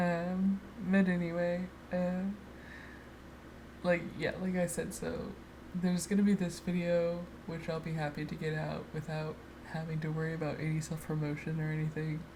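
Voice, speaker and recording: With audible room echo, a woman speaks in a fairly low, monotone, flat voice, leaving long, frequent pauses. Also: moderate pace. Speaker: artist doing a speedpaint voiceover. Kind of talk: casual unedited ramble. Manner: halting, many fillers.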